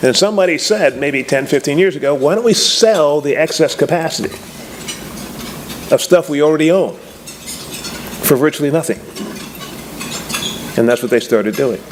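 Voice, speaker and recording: Over noticeable background noise, a man with a fairly high pitch speaks with lively intonation and long, frequent pauses. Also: moderate pace. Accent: American. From Texas. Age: 70s. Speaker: business school lecturer. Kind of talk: keynote speech. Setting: luncheon stage with audience. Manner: animated.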